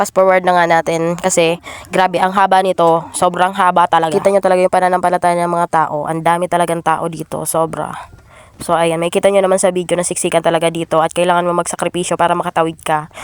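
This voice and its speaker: Very fast and monotone, a woman speaks with flat intonation at a fairly low pitch. The sound is dry and close, with no echo. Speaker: vlogger. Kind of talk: vlog voiceover narration. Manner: casual, chatty.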